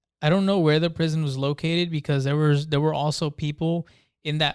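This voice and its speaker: A man with a Spanish accent talks at a fairly quick pace in a monotone, flat intonation, his fairly high pitch caught in a dry, close sound with no echo on a very clean recording with a silent background. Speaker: podcast co-host. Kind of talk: casual chat.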